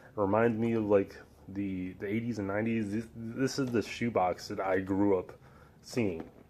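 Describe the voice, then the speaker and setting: A man talks quietly at a moderate pace. His fairly low voice keeps a fairly even intonation. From Chicago, US Midwest. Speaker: sneaker vlogger. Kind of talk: casual product review. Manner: subdued, quiet; hesitant, many fillers.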